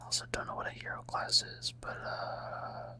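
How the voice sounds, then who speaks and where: Someone whispers fairly slowly while noticeable noise sits in the background. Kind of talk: ASMR gaming ramble. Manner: whispered.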